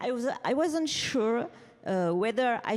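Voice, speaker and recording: Here is a woman with a French accent. Her pitch is fairly high. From France. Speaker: publisher and author. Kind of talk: award acceptance speech. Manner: reading from notes.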